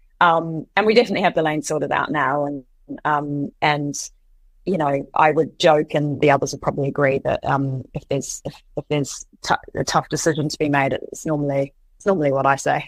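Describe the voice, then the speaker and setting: Speaking at a fairly quick pace with fairly even intonation, a woman with a very deep, low voice talks in a New Zealand accent. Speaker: co-founder and CEO of a coffee and restaurant company. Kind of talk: interview answer.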